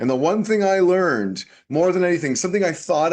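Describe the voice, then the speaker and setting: A man with a slight Canadian accent talks at a moderate pace with lively intonation. The background is quiet. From Canada. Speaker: tech business consultant. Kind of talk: webinar presentation. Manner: animated.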